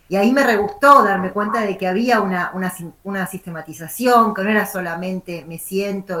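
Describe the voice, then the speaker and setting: A woman at a medium pitch, her pitch varying in an ordinary way, talks over noticeable background noise. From Argentina, La Plata. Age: 50s. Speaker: writer. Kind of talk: interview. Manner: rambling, many fillers and repetitions.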